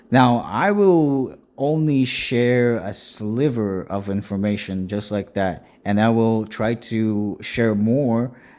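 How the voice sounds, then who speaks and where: A man's medium-pitched voice at a very slow pace, with hardly any pauses and ordinary pitch variation, in a very clean recording with a silent background. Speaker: Bible devotion channel host. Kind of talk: evening Bible devotion talk. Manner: hesitant, with fillers.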